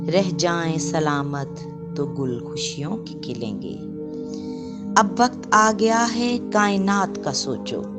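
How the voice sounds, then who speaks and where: Over music in the background, a woman speaks with a very deep, low pitch, lively intonation and big swings in loudness. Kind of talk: poetry reading.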